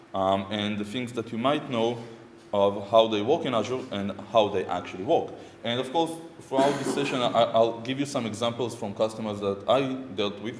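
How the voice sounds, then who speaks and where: A man with an Israeli accent talks at a moderate pace, using a medium pitch and ordinary pitch variation. Audible room echo and noticeable background noise come through. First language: Hebrew. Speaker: software architect and conference speaker. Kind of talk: conference talk. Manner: hesitant, many fillers.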